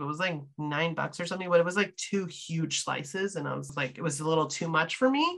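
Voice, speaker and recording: A woman talks in an ordinary speaking voice with an American accent, at fairly low pitch, a fairly quick pace and ordinary pitch variation. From Wisconsin. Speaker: podcast host. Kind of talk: casual chat.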